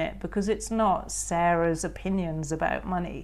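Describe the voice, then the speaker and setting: This voice carries an English accent. The intonation stays fairly even. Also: woman. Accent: posh English, boarding-school. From England. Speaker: author. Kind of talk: interview.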